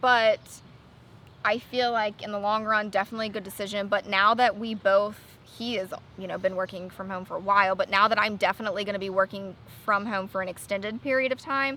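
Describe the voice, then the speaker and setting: A woman at medium pitch with a bright, sharp tone, fairly even intonation, and a fairly quick pace. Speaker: dog channel co-host. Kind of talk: casual chat, live stream. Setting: outdoors, live stream over wi-fi. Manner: loud on the phone.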